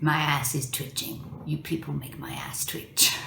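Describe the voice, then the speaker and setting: Using a put-on character voice, a woman speaks at a moderate pace in a very deep, low pitch with a grumpy tone and fairly even intonation, over clear background noise. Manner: grumpy, bitter.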